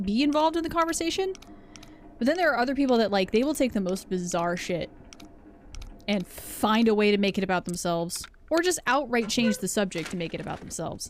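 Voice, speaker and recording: Against noticeable background noise, a woman speaks very fast at a fairly high pitch, her voice making very wide pitch swings. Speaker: game streamer. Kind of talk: casual chat. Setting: live stream.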